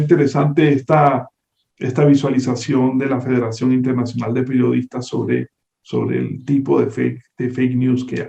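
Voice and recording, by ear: This man has a medium-pitched voice with a Venezuelan accent, a dark, mellow tone and a slightly husky edge. He talks at a moderate pace with vocal fry and fairly even intonation.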